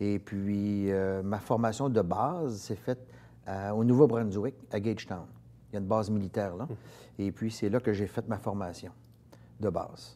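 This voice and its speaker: Dark and mellow in tone, a man's voice sits at a fairly low pitch. He speaks at a fairly slow pace with long, frequent pauses. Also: ordinary pitch variation. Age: 50s. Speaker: military officer and heritage organization director; interview guest. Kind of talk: interview. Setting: studio. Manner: halting, many repetitions. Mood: calm, reflective, warm. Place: studio. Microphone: lapel.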